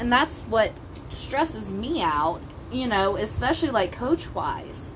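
A woman speaks very slowly in a high voice with very wide pitch swings. Noticeable background noise is present. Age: 30s. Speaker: parent talking with teens. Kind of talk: casual chat.

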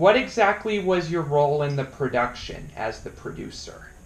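A man with an American accent has a plain, everyday voice, speaking at a fairly slow pace with lively intonation. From Colorado. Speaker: YouTube interviewer. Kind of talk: casual interview.

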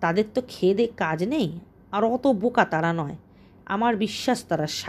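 A natural read-aloud voice with lively intonation

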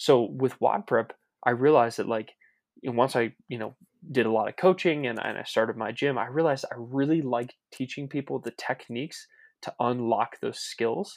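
On a very clean recording with a silent background and a dry, close sound with no echo, a man with an American accent has an ordinary speaking voice, ordinary pitch variation and a moderate pace. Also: medium pitch for a man. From US Mid-Atlantic, Maryland. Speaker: fitness coach and business owner. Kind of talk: casual interview.

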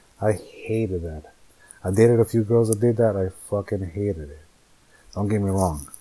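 With an American accent, a man talks at a moderate pace in a fairly low pitch. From Northern California. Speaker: podcaster. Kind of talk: casual monologue, solo podcast. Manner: casual, hesitant, filler words; candid, profane.

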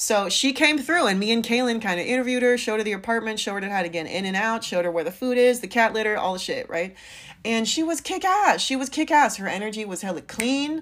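Over noticeable background noise, a woman with an American accent talks at a very fast pace in an animated tone, her fairly high voice full of lively intonation. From US West Coast, San Francisco Bay Area. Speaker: podcast host and life coach. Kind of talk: casual solo podcast monologue.

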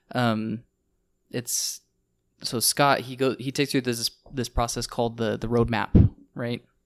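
Over a very clean, silent background, a man speaks fairly slowly in a dry, close sound with no echo, his medium-pitched delivery monotone and flat, broken by long, frequent pauses. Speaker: podcast co-host. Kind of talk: casual chat.

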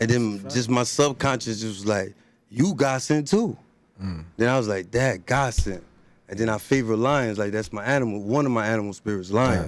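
A man with a New Jersey accent talks at a moderate pace. His pitch is medium, with ordinary pitch variation. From Elizabeth, New Jersey, Haitian family. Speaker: rapper. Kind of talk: casual chat.

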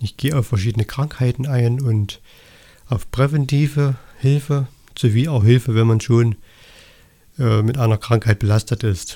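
A man with a dark, mellow, somewhat breathy tone speaks at a medium pitch and a moderate pace. His intonation is fairly even, broken by long, frequent pauses. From Saxony, Erzgebirge (eastern Germany). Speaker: holistic health coach, podcaster. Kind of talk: solo podcast monologue. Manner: somewhat halting, with repetitions and fillers.

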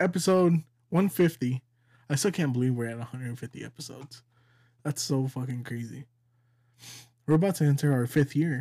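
Fairly high in pitch, a man talks at a moderate pace with ordinary pitch variation, a dark, mellow, somewhat breathy tone, big swings in loudness, and long, frequent pauses. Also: very clean recording, silent background. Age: 20s. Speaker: podcast host. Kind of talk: casual chat.

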